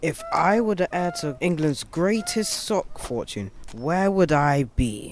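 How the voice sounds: Putting on a character voice, a woman speaks slowly at a low pitch with lively intonation over faint background noise.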